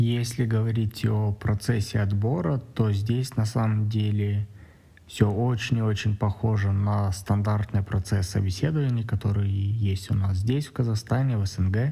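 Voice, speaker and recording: A man speaks in a dark, mellow, somewhat breathy voice with a fairly low pitch and fairly even intonation. His loudness stays very even on a very clean recording with a silent background. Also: fairly slow pace. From Kazakhstan, Astana. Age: 30s. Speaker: software developer. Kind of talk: personal account monologue.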